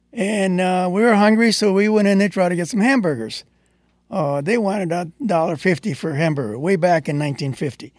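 At a fairly quick pace, a man with an American accent speaks in a high voice. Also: lively intonation. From Texas. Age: 80s+. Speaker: community volunteer. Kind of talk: interview. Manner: halting.

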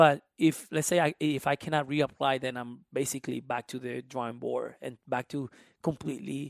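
On a very clean recording with a silent background and a dry, close sound with no echo, a man with a Spanish accent speaks at a fairly high pitch with fairly even intonation. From Honduras. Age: 20s. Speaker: musician and immigration advocate. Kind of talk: casual interview conversation.

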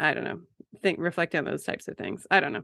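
A woman speaks with vocal fry. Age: 30s. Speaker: podcast host. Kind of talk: casual conversation. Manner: laid-back, laughs often.

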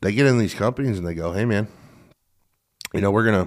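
Recorded very cleanly against a silent background, a man with an American accent talks at a fairly low pitch with ordinary pitch variation. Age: 30s. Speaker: podcast host and earthwork contractor. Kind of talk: casual interview.

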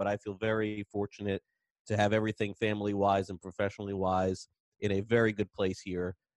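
This man has a normal speaking voice at a fairly low pitch, with fairly even intonation and a dry, close sound with no echo. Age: 40s. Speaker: baseball podcast host. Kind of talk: casual chat.

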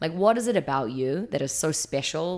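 A woman with a New Zealand accent speaks with lively intonation. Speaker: fitness trainer. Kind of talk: interview. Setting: studio.

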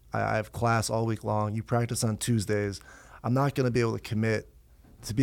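On a very clean recording with a silent background, a man talks at a very fast pace with an American accent. His voice sits at a medium pitch with fairly even intonation. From upstate New York. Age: 30s. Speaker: professional lacrosse player. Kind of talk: casual chat. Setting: studio.

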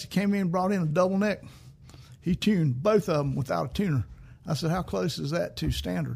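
A man speaks in a high pitch with ordinary pitch variation. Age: 70s. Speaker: podcast host and musician. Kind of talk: casual chat.

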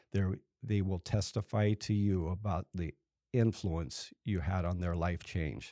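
In a very clean recording with a silent background and a dry, close sound with no echo, a man speaks fairly slowly in a normal speaking voice, fairly low-pitched with ordinary pitch variation. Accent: American. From US West Coast, San Jose, California. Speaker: builder and church donor. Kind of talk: casual interview.

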